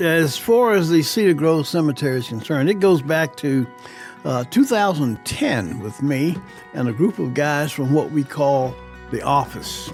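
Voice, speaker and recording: Over music in the background, a man with an American accent and a fairly high pitch talks with lively intonation. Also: moderate pace. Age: 70s. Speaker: retired TV news reporter and anchor. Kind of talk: interview answer. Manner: conversational, reflective.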